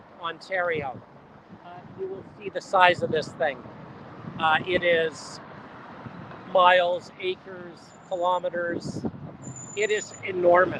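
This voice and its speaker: Over noticeable background noise, the speaker goes at a very slow pace with long, frequent pauses. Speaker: model railroad company host filming trains. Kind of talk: live vlog commentary. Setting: outdoors on a busy road bridge by a rail yard. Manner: loud, yelling over noise.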